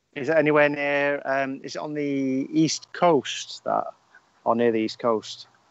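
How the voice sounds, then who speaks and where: In a Northern English accent, a man with fairly high pitch speaks at a fairly slow pace with fairly even intonation. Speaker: podcast co-host. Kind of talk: casual chat.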